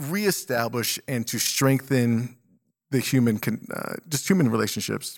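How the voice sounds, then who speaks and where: A man talks with an unremarkable speaking voice, medium pitch and ordinary pitch variation. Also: fairly slow pace. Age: 40s. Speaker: podcast co-host. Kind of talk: casual chat. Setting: video call.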